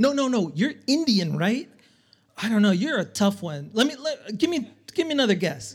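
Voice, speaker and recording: Speaking at a moderate pace, a man uses a high voice that makes very wide pitch swings. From El Salvador. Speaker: comedian. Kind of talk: stand-up. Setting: stage with audience.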